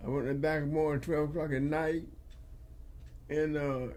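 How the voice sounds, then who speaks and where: A man with a rural Southern US accent speaks at a fairly high pitch. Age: 80s+. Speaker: retired farmer. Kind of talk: interview answer.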